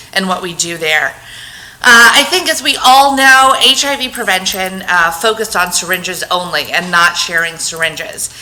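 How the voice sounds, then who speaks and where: Loud and with very wide pitch swings, a woman speaks amid noticeable background noise and audible room echo. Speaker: public health program coordinator. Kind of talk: conference presentation. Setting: talk with microphone to audience.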